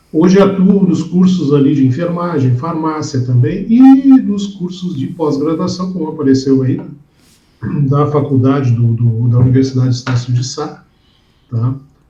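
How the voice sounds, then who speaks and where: A man's fairly high voice, with pitch that varies in an ordinary way, rings with audible room echo. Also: moderate pace. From southern Brazil, Porto Alegre. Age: 60s. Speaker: safety instructor and professor. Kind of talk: interview.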